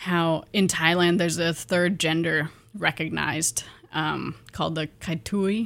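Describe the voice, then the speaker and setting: With an American accent, a woman speaks at a fairly slow pace. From US Pacific Northwest, eastern Washington. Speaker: graduate student. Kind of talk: radio interview. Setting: radio studio.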